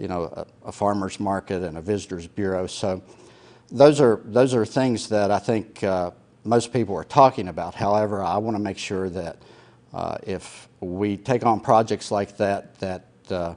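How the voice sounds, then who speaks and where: Moderate speed and ordinary pitch variation from a man, fairly low in pitch. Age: 60s. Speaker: retired police officer, political candidate. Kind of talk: candidate interview. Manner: halting, many fillers.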